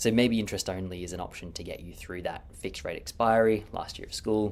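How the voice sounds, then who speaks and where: Speaking very fast in an Australian accent, a man shows big swings in loudness. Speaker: mortgage broker. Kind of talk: market update video.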